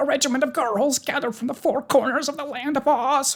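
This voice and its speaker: This is a put-on character voice with a high pitch. It moves at a fairly quick pace. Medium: read story. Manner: nervous, deferential.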